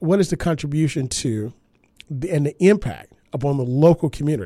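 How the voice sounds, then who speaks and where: An unremarkable speaking voice with lively intonation at a moderate pace, in a very clean recording with a silent background. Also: man. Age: 40s. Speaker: radio host. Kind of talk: radio talk show monologue.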